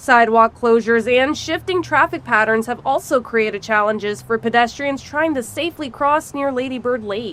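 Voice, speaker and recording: This woman has an unremarkable speaking voice, pitched fairly high, with ordinary pitch variation and a fairly quick pace. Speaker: broadcast news reporter / multimedia journalist. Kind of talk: news package voiceover and reporter narration. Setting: outdoors, on-location standups.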